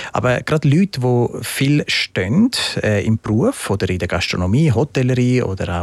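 A man is speaking, with noticeable background noise. The sound is dry and close with no echo. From Switzerland, partly raised in Italy. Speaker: entrepreneur, shoe company founder. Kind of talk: interview.

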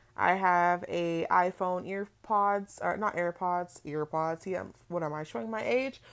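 A woman with an American accent and an unremarkable speaking voice talks at a fairly slow pace and medium pitch. Her pitch varies normally in a very clean recording with a silent background. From California, Palm Springs. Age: 20s. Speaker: podcast host. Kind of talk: casual monologue. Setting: in bed at home.

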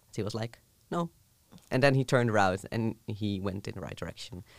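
On a very clean recording with a silent background, a man speaks at a fairly quick pace with medium pitch and ordinary pitch variation. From southern Netherlands. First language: Dutch. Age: 20s. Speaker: university student. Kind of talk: casual chat.

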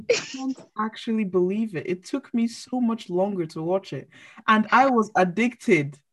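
This woman's voice is fairly high-pitched and somewhat breathy, moving at a moderate pace. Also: lively intonation. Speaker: podcast co-host. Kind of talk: casual chat.

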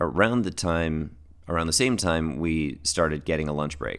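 Speaking at a moderate pace, a man uses a very deep, low voice with vocal fry and lively intonation. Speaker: pharmacist podcast host. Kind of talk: casual solo podcast monologue. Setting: home recording with microphone.

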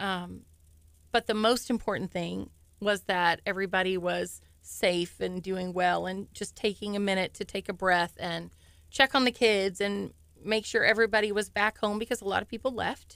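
This is an unremarkable speaking voice from a woman with an American accent, medium in pitch with fairly even intonation. The recording is very clean with a silent background. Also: moderate pace. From Texas. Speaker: junior high school principal. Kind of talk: radio interview.

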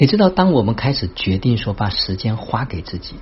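A man talks at a moderate pace in a medium pitch. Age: 50s. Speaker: self-development speaker. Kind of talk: daily monologue sharing. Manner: animated.

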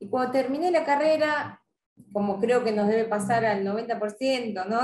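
A woman with a Rioplatense accent talks at a moderate pace in a fairly high voice. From Argentina, Buenos Aires area (Avellaneda). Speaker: sport psychologist. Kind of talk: interview. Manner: hesitant, many fillers and repetitions.

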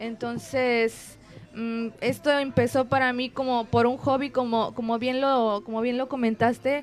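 A woman with a high pitch speaks at a fairly slow pace in a monotone, flat intonation. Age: 20s. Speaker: music student and folk singer. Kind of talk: casual chat. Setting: restaurant, live stream.

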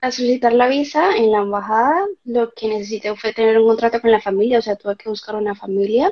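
With an unremarkable speaking voice, a woman speaks at a fairly quick pace and fairly high pitch, using fairly even intonation and hardly any pauses. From Colombia, Cali. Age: 20s. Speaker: architect and former au pair. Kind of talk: interview.

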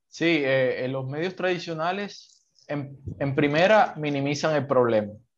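At a fairly slow pace, a man with a plain, everyday voice talks in a fairly high pitch with ordinary pitch variation. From Colombian Caribbean coast (Sincelejo). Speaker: Colombian citizen commentator. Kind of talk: conversational interview. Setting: call.

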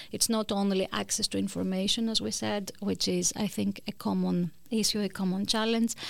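On a very clean recording with a silent background, a woman speaks with a Greek accent. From Greece. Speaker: law professor. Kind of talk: interview. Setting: studio. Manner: halting.

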